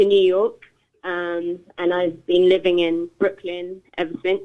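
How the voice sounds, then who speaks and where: The speaker is a woman with a London accent. Her pitch is fairly low. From London, England. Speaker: DJ and producer. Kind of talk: radio interview. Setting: phone call.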